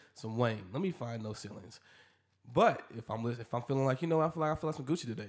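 In a very clean recording with a silent background, a man at medium pitch speaks at a very fast pace with lively intonation. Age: 30s. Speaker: podcast host. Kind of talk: casual chat.

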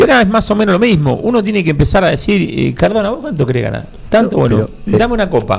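The pace here is very fast from a man. Very wide swings mark his pitch. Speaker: radio host. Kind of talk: casual chat about football.

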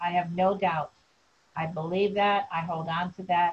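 Here a woman speaks with a somewhat breathy, fairly low voice. Her intonation is fairly even and her pace fairly slow. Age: 70s. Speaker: survivor sharing life story. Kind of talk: interview testimony. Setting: video call.

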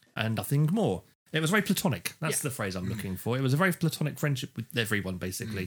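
A man with a British accent talks at a very fast pace, his somewhat breathy voice making very wide pitch swings. The recording is very clean with a silent background. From UK. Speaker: podcast co-host. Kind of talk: casual chat.

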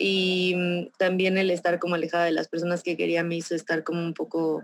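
A woman talks at a fairly slow pace with fairly even intonation and a fairly low pitch. It is an unremarkable speaking voice. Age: 20s. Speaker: insurance agent. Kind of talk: testimony.

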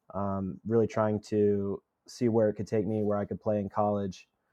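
The man's dark, mellow tone comes across at a moderate pace. The sound is dry and close with no echo. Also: quiet background. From Tennessee (Franklin, near Nashville). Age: 20s. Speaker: college baseball player. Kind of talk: interview.

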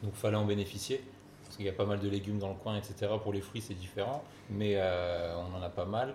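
Amid noticeable background noise and audible room echo, a man speaks. His pitch is fairly low and his intonation fairly even. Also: moderate pace. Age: 20s. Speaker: restaurant co-owner. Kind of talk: interview.

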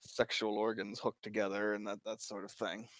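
A man in an American accent, fairly low in pitch, at a moderate pace, in a dry, close sound with no echo. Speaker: guest, romance book reviewer. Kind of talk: casual chat, podcast interview.

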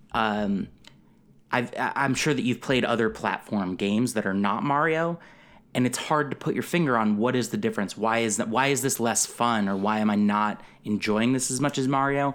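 A man with an American accent uses a plain, everyday voice, keeping a moderate pace, ordinary pitch variation and very even loudness on a very clean recording with a silent background. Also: medium pitch for a man. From Connecticut, US. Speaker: comedy writer and podcaster. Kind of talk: casual chat.

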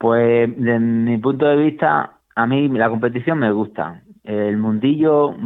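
A man's unremarkable speaking voice at a fairly low pitch. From Málaga, Andalusia, Spain. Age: 40s. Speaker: master cyclist, PE teacher. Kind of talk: interview.

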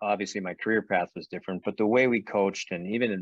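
With a plain, everyday voice, a man speaks fairly quickly in an American accent, his pitch fairly low and intonation fairly even, the sound dry and close with no echo. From Boston suburbs, Massachusetts. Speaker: college hockey coach. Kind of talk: interview.

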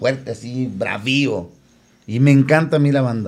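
With an unremarkable speaking voice, a man talks at a medium pitch with ordinary pitch variation. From León, Guanajuato, Mexico. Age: 50s. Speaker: band singer. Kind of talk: casual chat.

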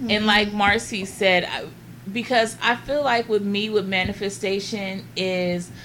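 At a fairly slow pace, a woman with an unremarkable speaking voice talks at a medium pitch with fairly even intonation. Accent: American. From Los Angeles, California. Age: 40s. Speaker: guest. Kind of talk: casual chat.

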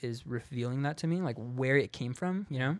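A man at medium pitch with a West Coast US accent, moderate pace, and a dry, close sound with no echo. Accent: General American, West Coast. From US West Coast, San Diego. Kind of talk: casual testimony.

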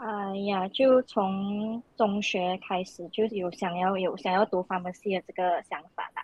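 With an ordinary speaking voice, a woman talks fairly slowly at a medium pitch with fairly even intonation, hardly any pauses and big swings in loudness. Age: 20s. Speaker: pharmacy student. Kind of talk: casual chat.

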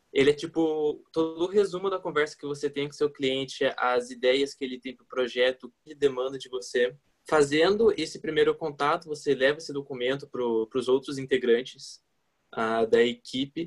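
A man's ordinary speaking voice at fairly high pitch, with ordinary pitch variation, big swings in loudness and a moderate pace. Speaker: advertising student, client service. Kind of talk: casual chat.

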